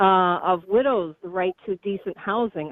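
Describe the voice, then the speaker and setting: A woman with an ordinary speaking voice, medium pitch and ordinary pitch variation. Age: 60s. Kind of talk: question to politician. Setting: phone call.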